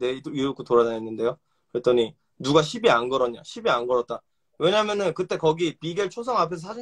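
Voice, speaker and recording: At a fairly quick pace, a man talks in an animated tone with a dry, close sound and no echo. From South Korea, Suwon then Gunsan (Jeolla) in teens. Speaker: rapper. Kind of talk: heated debate.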